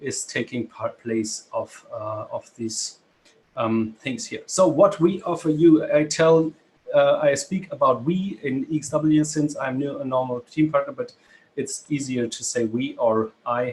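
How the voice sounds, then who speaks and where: This man's voice sits at a fairly high pitch. It is somewhat breathy. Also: ordinary pitch variation, fairly slow pace. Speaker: business presenter. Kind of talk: webinar presentation. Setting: video call. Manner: halting.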